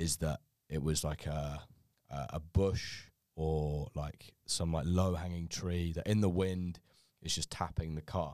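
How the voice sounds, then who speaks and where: A dark, mellow voice moves at a very slow pace with ordinary pitch variation in a very clean recording with a silent background. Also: man. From London. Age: 20s. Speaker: podcast host, student. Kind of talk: casual chat. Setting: studio.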